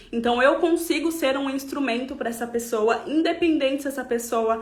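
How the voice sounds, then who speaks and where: A woman speaks with a high pitch and lively intonation. Audible room echo surrounds her voice. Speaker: holistic therapist. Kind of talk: live stream talk. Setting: online live stream.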